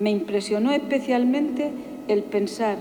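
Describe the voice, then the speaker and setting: At a fairly slow pace, a woman talks in a plain, everyday voice, fairly high in pitch with ordinary pitch variation. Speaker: pregonera (Holy Week proclaimer). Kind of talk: personal first-person reflection on a pilgrimage to Jerusalem. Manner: emotional, solemn.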